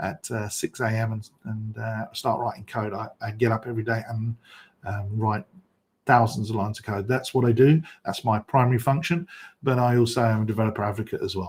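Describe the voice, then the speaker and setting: Somewhat breathy, a man speaks fairly quickly at a medium pitch with ordinary pitch variation. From England, London. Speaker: software developer and conference host. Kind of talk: conference presentation. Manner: fast.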